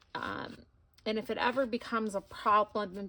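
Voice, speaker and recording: At a fairly slow pace, a woman speaks with an American accent. Her pitch is medium. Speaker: craft YouTuber. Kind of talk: tutorial. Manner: casual, hesitant with many fillers.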